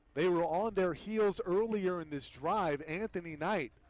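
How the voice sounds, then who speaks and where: A man talks fairly slowly in a high pitch. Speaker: sports play-by-play commentator. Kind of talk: live commentary.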